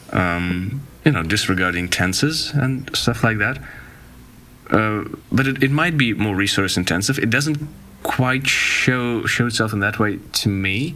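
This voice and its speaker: Speaking at a fairly slow pace, a man with a medium pitch and lively intonation keeps his loudness very even, with noticeable background noise and audible room echo around him. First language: Russian. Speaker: podcast guest. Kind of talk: casual chat. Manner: halting.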